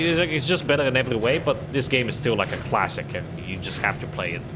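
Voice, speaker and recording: Over noticeable background noise and audible room echo, a man speaks at a very fast pace. His intonation is lively. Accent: strong non-native. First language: not English. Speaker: gaming streamer. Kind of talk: casual livestream commentary. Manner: hesitant, many fillers.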